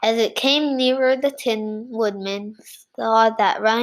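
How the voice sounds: The speaker has a natural reading voice.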